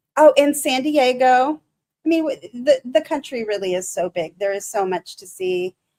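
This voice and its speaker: Speaking in a Michigan accent, a woman moves at a moderate pace with lively intonation. The sound is dry and close, with no echo. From Michigan, US. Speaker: live streamer. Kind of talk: casual live stream chat. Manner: halting.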